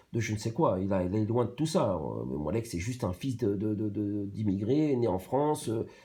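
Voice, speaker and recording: A man's fairly low, somewhat breathy voice with a dark, mellow tone and ordinary pitch variation, in a very clean recording with a silent background. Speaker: YouTube commentator. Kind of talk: reaction commentary. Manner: fast; halting, many fillers and repetitions.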